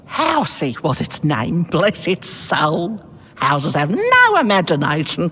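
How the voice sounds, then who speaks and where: A put-on character voice at a middle pitch and fairly slow pace, over clear background noise. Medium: video game. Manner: rambling, whimsical.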